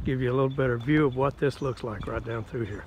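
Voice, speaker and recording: In a dry sound with no echo, a man talks at a fairly quick pace against noticeable background noise. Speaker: campground visitor vlogger. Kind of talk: casual vlog chat. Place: open country. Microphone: phone near.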